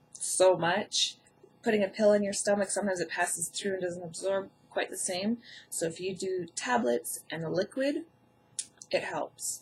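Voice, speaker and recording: A woman's medium-pitched voice sounds somewhat breathy. She speaks at a moderate pace with ordinary pitch variation. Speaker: health vlogger with Crohn's. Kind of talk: tutorial. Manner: casual.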